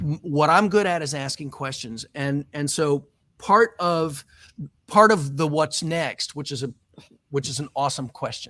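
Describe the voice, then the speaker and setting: A man with an American accent, fairly high in pitch, at a fairly slow pace with ordinary pitch variation. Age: 50s. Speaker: tech entrepreneur. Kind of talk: interview. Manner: halting.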